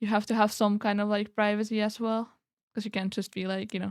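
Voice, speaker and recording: A woman speaks with a slight non-native accent. The recording is very clean, with a silent background. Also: dry, close sound with no echo. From Europe. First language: not English. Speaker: streamer. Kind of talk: casual chat. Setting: live stream.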